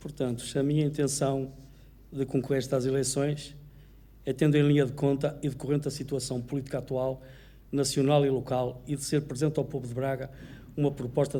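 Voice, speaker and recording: A man talks at a fairly quick pace in a flat monotone, his medium-pitched voice dark, mellow and somewhat breathy. Audible room echo surrounds him. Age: 70s. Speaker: mayoral candidate, retired solicitor. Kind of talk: political debate. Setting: auditorium with audience, broadcast on radio.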